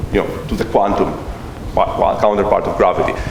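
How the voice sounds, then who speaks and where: There is noticeable background noise behind this man. His voice has audible room echo. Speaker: physicist giving public lecture. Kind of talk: Q&A answer at public lecture. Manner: loud; hesitant, repeats words.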